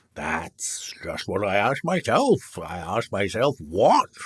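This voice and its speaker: A man does a put-on character voice at medium pitch, speaking fairly slowly. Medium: read story. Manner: slow, ponderous.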